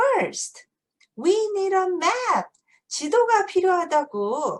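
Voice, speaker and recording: A woman puts on a squeaky character voice, pitched extremely high, and speaks at a very slow pace. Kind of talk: picture-book read-aloud. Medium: read story. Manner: bossy, excitable.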